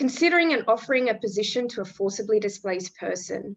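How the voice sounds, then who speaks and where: Fairly high in pitch, a woman with an Australian accent talks at a fairly quick pace with lively intonation. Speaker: refugee employment program representative. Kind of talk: webinar presentation. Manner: formal.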